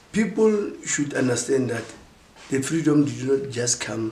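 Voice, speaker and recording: A man talks at a medium pitch while noticeable background noise carries on behind him. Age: 60s. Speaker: former political prisoner. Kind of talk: interview answer.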